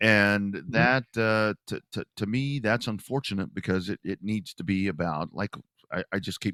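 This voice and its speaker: A man with an unremarkable speaking voice and an American accent, fairly low in pitch, with ordinary pitch variation and a moderate pace. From Texas. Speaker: short track racing announcer and sports show host. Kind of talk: podcast interview answer.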